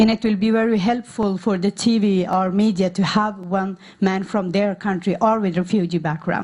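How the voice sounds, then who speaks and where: In a non-native accent, a woman with a medium, somewhat breathy voice talks at a moderate pace in a monotone, flat intonation, her loudness very even and hardly any pauses. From Norway, born in Afghanistan. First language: not English. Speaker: refugee women's activist. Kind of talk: conference talk. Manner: halting, many fillers.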